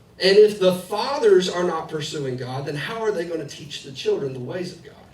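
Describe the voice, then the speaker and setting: A man with a high-pitched voice speaks fairly quickly, with lively intonation and big swings in loudness. Noticeable background noise runs under his speech. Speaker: pastor. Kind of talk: sermon.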